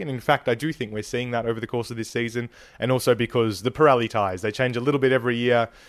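This man talks very fast. His voice stays at a medium pitch. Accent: Australian. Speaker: podcast host. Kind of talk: casual interview chat.

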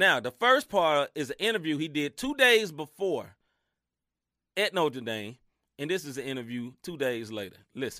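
A man with a Southern US accent speaks at a moderate pace in a fairly high, bright, sharp, animated voice with very wide pitch swings, recorded very clean with a silent background and a dry, close sound with no echo. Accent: Southern country twang. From US Mid-South. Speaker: sports podcast host. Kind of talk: casual chat.

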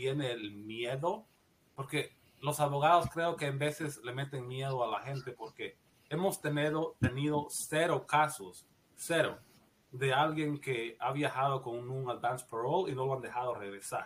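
The man has an unremarkable speaking voice with a fairly high pitch. He talks at a fairly slow pace with ordinary pitch variation. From Guatemala. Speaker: nurse practitioner. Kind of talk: interview, personal story.

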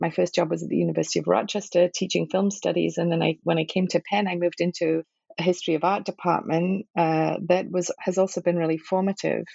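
Here a woman speaks at a fairly low pitch, with vocal fry. Her pace is fairly quick. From northern England (Liverpool, Manchester). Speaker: film studies professor. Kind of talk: academic interview.

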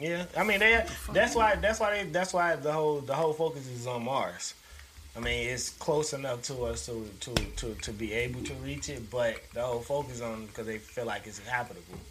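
A man's medium-pitched voice with lively intonation, over noticeable background noise. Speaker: podcast host. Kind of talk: casual chat.

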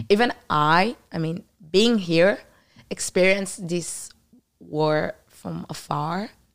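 A woman's fairly low voice with an Israeli accent, ordinary pitch variation, a very slow pace and big swings in loudness. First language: Hebrew. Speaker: former soldier. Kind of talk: interview about the war.

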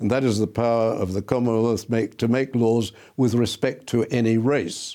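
On a very clean recording with a silent background, a man with an Australian accent speaks at a fairly slow pace, medium-pitched with a dark, mellow tone and fairly even intonation. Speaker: law professor. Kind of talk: interview, explaining history.

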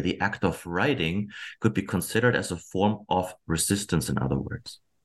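A man talks with a German accent at a moderate pace. The background is quiet. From Germany. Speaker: historian. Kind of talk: interview. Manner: halting.

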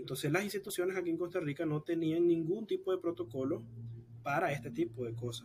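A high-pitched man talking at a very fast pace with lively intonation. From Nicaragua. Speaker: exiled student activist. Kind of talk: interview.

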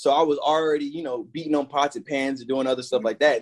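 With an American accent, a man talks at a fairly high pitch that varies in an ordinary way. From US South, Atlanta. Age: 20s. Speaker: music producer. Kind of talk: casual interview.

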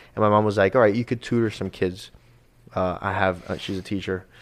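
A man speaks with an American accent at a fairly low pitch. His pace is fairly quick. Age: 20s. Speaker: realtor. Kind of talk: casual chat. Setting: studio.

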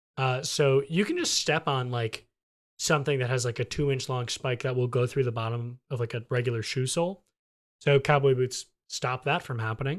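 In a very clean recording with a silent background, a man talks at a moderate pace. He has a normal speaking voice, medium in pitch, with fairly even intonation. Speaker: podcast host. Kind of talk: casual chat.

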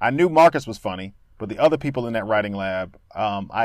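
A man's ordinary speaking voice with an American accent, at a moderate pace and with lively intonation, on a very clean recording with a silent background. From Danbury, Connecticut, US. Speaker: actor and comedian. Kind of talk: casual chat.

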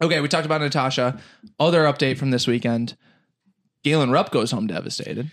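Fairly high-pitched, a man talks very fast with ordinary pitch variation and long, frequent pauses. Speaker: podcast co-host, running fan. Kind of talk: casual chat. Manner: high energy.

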